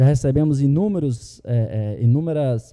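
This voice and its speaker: Over a very clean recording with a silent background, a man with a dark, mellow tone speaks at medium pitch and a fairly slow pace, with ordinary pitch variation. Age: 30s. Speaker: school podcast host. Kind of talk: show announcement; casual talk show chat. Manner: halting, many fillers.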